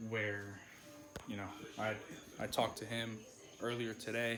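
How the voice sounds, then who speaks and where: Speaking at a moderate pace, a man keeps a flat, monotone intonation. Music plays in the background, and there is audible room echo. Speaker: car enthusiast vlogger. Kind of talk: casual vlog chat.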